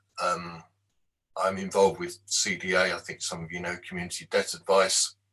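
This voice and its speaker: A man with an unremarkable speaking voice, lively intonation and a moderate pace. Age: 60s. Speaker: devotional speaker. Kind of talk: devotional talk.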